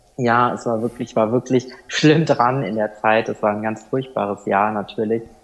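A man's normal speaking voice at medium pitch and moderate pace, with fairly even intonation. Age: 20s. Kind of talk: podcast interview, personal story.

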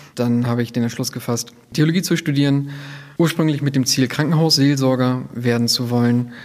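Using a plain, everyday voice, a man with a medium pitch speaks at a moderate pace with fairly even intonation. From northern Germany, near Bremen. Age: 30s. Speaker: protestant pastor. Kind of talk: interview.

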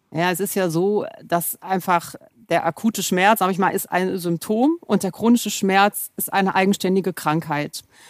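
A woman talks at a moderate pace in a normal speaking voice, medium in pitch with ordinary pitch variation. The recording is very clean, with a silent background and a dry, close sound with no echo. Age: 50s. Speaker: pain medicine physician. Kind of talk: expert interview.

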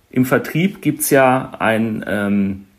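Pitch varies in an ordinary way through what is a normal speaking voice. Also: man. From Germany, East Westphalia. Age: 40s. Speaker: insurance branch manager. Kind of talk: interview.

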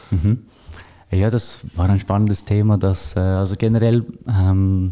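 A man with a fairly low voice and a dark, mellow tone. He talks at a moderate pace in a flat monotone. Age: 30s. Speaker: financial advisor. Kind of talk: interview. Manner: hesitant, many filler sounds.

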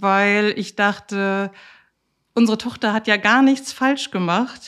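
Intonation fairly even, a woman talks at a very slow pace on a very clean recording with a silent background. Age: 40s. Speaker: lawyer and patient with bipolar disorder. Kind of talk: interview.

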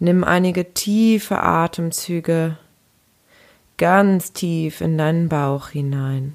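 At a very slow pace, a woman speaks in a calm, gentle tone with a fairly low pitch. Her intonation is fairly even, with long, frequent pauses. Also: very clean recording, silent background. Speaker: empowerment coach. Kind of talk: guided meditation. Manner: slow, soft-spoken, soothing; calm, gentle, unhurried with pauses.

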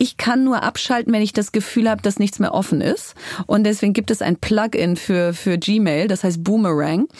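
A woman with a medium-pitched voice speaks at a moderate pace, with ordinary pitch variation and very even loudness, against noticeable background noise. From Germany, Bielefeld. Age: 40s. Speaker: entrepreneur and author. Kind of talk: interview.

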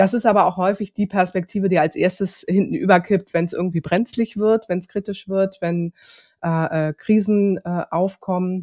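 A woman with a normal speaking voice talks at a moderate pace and medium pitch, her intonation fairly even, with a dry, close sound with no echo over a quiet background. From Hamburg, northern Germany. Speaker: social business consultant, founder. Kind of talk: interview. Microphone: new podcast equipment.

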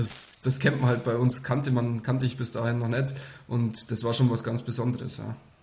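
A man speaks at a moderate pace and medium pitch in a monotone, flat intonation. Noticeable background noise sits behind him. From Upper Palatinate, Bavaria (Kümmersbruck near Amberg). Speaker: professional nine-pin bowler. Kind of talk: interview.

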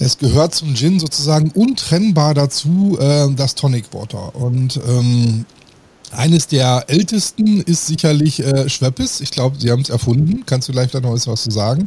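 A man with a fairly high pitch talks at a moderate pace with lively intonation. Noticeable background noise runs under his voice. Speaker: podcast host. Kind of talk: casual chat. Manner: loud; hesitant, many fillers.

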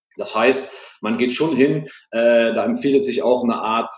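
Moderate pacing and ordinary pitch variation from a male speaker. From Germany, Siegburg near Cologne. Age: 30s. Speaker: online marketing expert. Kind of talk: interview. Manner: frequent filler words and hesitations.

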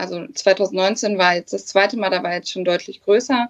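A woman's normal speaking voice at a medium pitch, with fairly even intonation and a moderate pace. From northern Germany, Hannover area. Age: 20s. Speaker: bikini fitness athlete. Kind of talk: casual chat.

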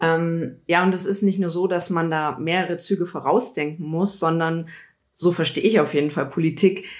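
She speaks in a normal speaking voice, fairly low in pitch, at a moderate pace with fairly even intonation. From Bavaria, Munich area. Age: 30s. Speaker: politician. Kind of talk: casual interview.

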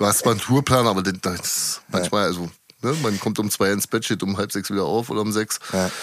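A man's unremarkable speaking voice, fairly low in pitch, at a fairly quick pace with fairly even intonation. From Berlin, Prenzlauer Berg. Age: 40s. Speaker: nightclub security worker and stage rigger. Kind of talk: interview.

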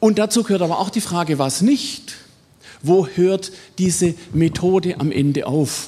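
Over noticeable background noise, a man in a Swabian accent talks in a high voice with ordinary pitch variation. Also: fairly slow pace. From Swabia, southwestern Germany. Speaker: biology professor. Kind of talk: lecture.

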